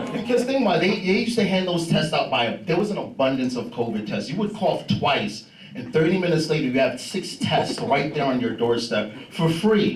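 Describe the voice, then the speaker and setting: Amid noticeable background noise and audible room echo, a man with a New York accent speaks at a fairly quick pace with very wide pitch swings. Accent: New York (Bronx). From New York, the Bronx. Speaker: stand-up comedian. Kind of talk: stand-up. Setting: stage with audience.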